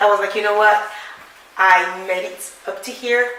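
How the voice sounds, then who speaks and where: Someone with a non-native accent speaks amid noticeable background noise and audible room echo. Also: woman. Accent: foreign. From France, then England from childhood. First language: French. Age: 30s. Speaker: worship leader and playwright. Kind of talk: interview. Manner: hesitant, many fillers.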